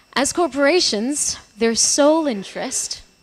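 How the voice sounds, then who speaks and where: Lively intonation carries the speech at a moderate pace amid noticeable background noise. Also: woman. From Portugal. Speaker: academic researcher. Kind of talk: conference presentation.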